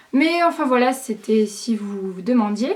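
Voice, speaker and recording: A high-pitched woman amid noticeable background noise. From southern France, Aix-en-Provence. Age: young. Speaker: YouTuber. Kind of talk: casual vlog to camera. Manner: hesitant, many fillers.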